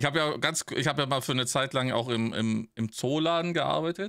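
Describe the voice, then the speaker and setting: The background stays quiet. A man's medium-pitched voice carries ordinary pitch variation. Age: 40s. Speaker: podcast co-host, streamer. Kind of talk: casual chat. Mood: relaxed, joking. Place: home room.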